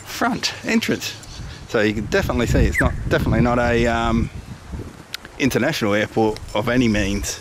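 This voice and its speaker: A man talks fairly fast in a dry sound with no echo, with clear background noise around him. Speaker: dog owner vlogger. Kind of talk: casual vlog chat. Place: street. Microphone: phone near.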